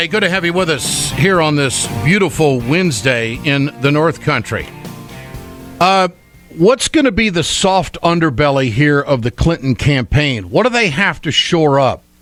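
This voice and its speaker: Music plays in the background as a man with a fairly high pitch talks at a fairly slow pace. His intonation is lively, and his loudness stays very even. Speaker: political talk show host. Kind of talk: radio-style political commentary. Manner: conversational, emphatic.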